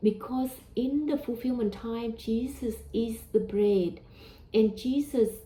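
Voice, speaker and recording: A woman with a Vietnamese accent, somewhat breathy and dark, mellow in tone, fairly high in pitch, with ordinary pitch variation and a very slow pace. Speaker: religious teacher. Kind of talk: religious talk. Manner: hesitant, with fillers.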